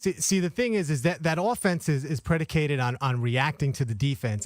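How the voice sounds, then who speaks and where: On a very clean recording with a silent background and a dry, close sound with no echo, a man with an unremarkable speaking voice talks at a fairly quick pace, fairly high in pitch and with lively intonation. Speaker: radio sports anchor. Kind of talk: sports radio talk discussion.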